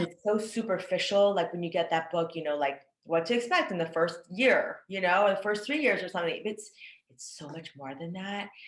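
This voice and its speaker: Here is a woman with a plain, everyday voice, medium in pitch, speaking at a moderate pace with ordinary pitch variation. Her loudness swings widely. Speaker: podcast host. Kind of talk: interviewer, casual conversation.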